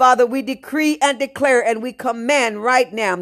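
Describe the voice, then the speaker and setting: The recording is very clean, with a silent background. A woman speaks in an animated tone at a high pitch. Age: 70s. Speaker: pastor. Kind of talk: sermon. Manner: animated, preaching.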